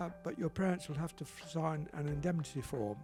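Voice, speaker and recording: With music in the background, a man speaks at a fairly high pitch in a southern English accent. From Southampton, England. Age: 80s+. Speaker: retired RAF pilot. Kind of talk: interview answer.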